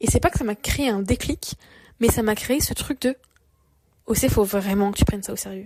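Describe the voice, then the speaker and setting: A woman with a fairly high pitch and a dark, mellow, somewhat breathy tone speaks at a moderate pace with ordinary pitch variation. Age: 20s. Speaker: podcaster. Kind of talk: personal monologue podcast. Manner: casual, hesitant with fillers.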